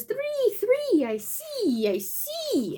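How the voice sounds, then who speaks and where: An extremely high, squeaky put-on character voice over light background noise. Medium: solo performance. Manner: boastful, singsong.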